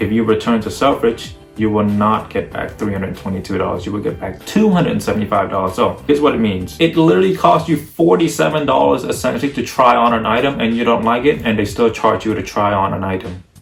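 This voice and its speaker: Over noticeable background noise, a man with a fairly low pitch talks at a very fast pace with very wide pitch swings and hardly any pauses. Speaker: fashion YouTuber. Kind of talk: casual vlog monologue. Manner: animated.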